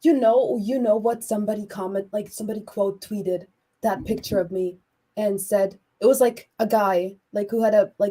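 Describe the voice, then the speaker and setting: A woman's medium-pitched voice, dark and mellow in tone, with fairly even intonation and a Croatian accent. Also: moderate pace. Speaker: artist. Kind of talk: casual chat.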